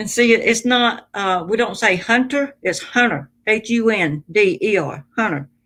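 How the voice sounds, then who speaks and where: A woman speaks with a Southern US accent and lively intonation. Her pace is fairly slow. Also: fairly high pitch for a woman. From US South. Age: 60s. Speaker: livestream host. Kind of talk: casual chat. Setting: live stream.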